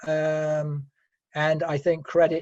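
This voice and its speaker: Speaking with a British accent, a man has a fairly high pitch and a somewhat breathy voice with a dark, mellow tone. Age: 60s. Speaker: Rotary Club treasurer. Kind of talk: interview. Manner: halting.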